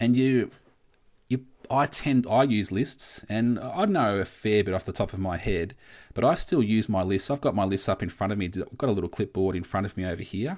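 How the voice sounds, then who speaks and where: A man speaks with an Australian accent at a fairly quick pace. His pitch is fairly low with ordinary variation, and the background is quiet. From Australia, Victoria. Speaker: coin collecting youtuber. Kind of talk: live stream chat. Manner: casual, filler-heavy.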